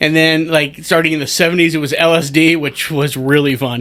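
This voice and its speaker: The tone is animated. It also sounds bright and sharp. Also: man. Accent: American. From US, DC area. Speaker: stand-up comedian. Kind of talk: podcast interview. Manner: loud.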